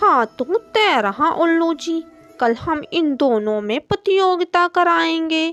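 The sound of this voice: Faint music plays in the background while a female-sounding voice talks at a fairly slow pace. It is a cartoonish character voice with extremely high pitch.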